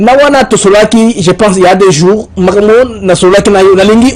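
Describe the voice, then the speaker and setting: With noticeable noise behind him, a man talks in a high voice with ordinary pitch variation. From DR Congo. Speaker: journalist interviewer. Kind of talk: interview.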